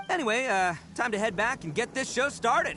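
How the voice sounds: With faint music in the background, a man does a put-on character voice at an extremely high pitch, bright and sharp, with lively intonation and a fairly slow pace.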